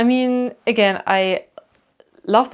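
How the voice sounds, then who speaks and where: A woman with a slight German accent and ordinary pitch variation. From Germany. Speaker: YouTuber. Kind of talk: casual Q&A chat. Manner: chatty, many fillers.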